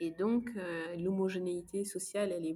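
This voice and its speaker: A woman with an unremarkable speaking voice talks at a fairly low pitch with fairly even intonation. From Luxembourg. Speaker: neuropsychologist. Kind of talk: casual interview.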